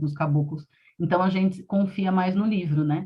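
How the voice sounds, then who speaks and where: A woman's voice comes through somewhat breathy. Her intonation is fairly level. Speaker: storyteller and arts educator. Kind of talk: live interview. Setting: live stream on laptop and phone. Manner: fast.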